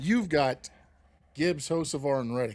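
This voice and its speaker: A man with a medium pitch and an ordinary speaking voice talks at a fairly quick pace. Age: 50s. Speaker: podcast co-host. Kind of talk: casual chat.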